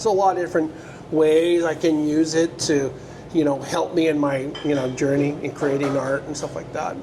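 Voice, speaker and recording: A man with an American accent talks at a moderate pace, his fairly high voice held to fairly even intonation. Noticeable background noise and audible room echo fill the recording. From US West Coast, San Francisco Bay Area. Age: 50s. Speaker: QA engineer and artist. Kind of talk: casual interview.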